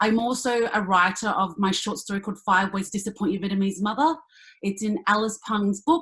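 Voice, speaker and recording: Speaking at a fairly quick pace, a woman with an Australian accent has a medium pitch and ordinary pitch variation. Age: 30s. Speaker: actor and comedian. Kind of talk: panel discussion.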